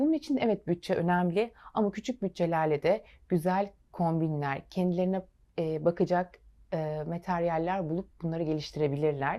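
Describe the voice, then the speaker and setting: A normal speaking voice from a woman, fairly low-pitched, with ordinary pitch variation, a moderate pace, and a very clean recording with a silent background. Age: 30s. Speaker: fashion designer. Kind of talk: TV interview.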